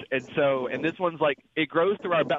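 A man speaks with a Mississippi accent. His pitch is fairly high, with ordinary variation. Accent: Southern US (Mississippi). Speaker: truck driver, caller. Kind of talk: call-in question.

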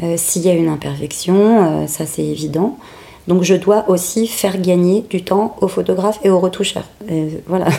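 Noticeable background noise sits behind a woman's voice. She talks at a medium pitch with fairly even intonation. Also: moderate pace. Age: 40s. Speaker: makeup artist. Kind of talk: interview testimony. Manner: hesitant, many fillers.

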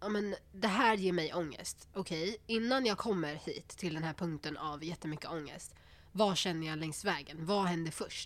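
A woman speaks at a moderate pace with a fairly low pitch and ordinary pitch variation. It is a normal speaking voice. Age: 20s. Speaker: psychology student. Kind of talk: casual chat.

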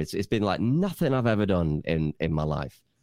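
A man with an unremarkable speaking voice talks at a fairly quick pace, his fairly low pitch carrying lively intonation. The recording is very clean and dry, close with no echo, on a silent background. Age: 30s. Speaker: radio station founder. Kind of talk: casual chat.

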